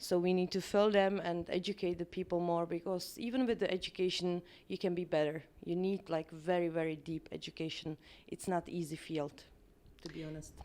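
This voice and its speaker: Speaking with a Czech accent, a woman has a fairly low pitch and a dark, mellow tone. Her pace is fairly quick and her intonation fairly even. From Czech Republic. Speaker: permanent makeup artist and trainer. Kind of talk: interview. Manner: hesitant, many fillers.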